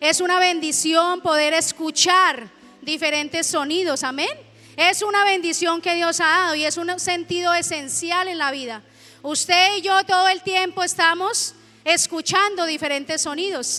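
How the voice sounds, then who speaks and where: A woman speaks in an animated tone at an extremely high pitch. Her voice is raised and projected. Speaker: pastor. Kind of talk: sermon.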